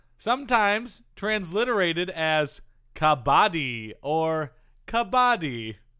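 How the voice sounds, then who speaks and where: A man's high-pitched voice, bright and sharp in tone, with very wide pitch swings at a very slow pace, on a very clean recording with a silent background. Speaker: sports comedy podcast co-host. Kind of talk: casual comedy banter.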